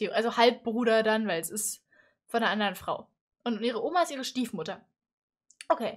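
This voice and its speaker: A woman with an animated tone speaks at a fairly quick pace in a fairly high pitch, with lively intonation. Her loudness swings widely against a quiet background. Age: 20s. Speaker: YouTuber reacting to animated stories. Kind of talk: casual reaction commentary. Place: home room. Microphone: headset.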